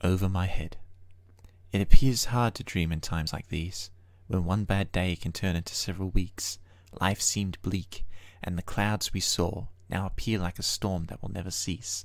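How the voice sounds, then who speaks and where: The recording is very clean, with a silent background. A man speaks at a moderate pace in a very deep, low pitch, his intonation fairly even. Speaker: poet. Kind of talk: spoken-word poetry. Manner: reflective, measured, lyrical cadence.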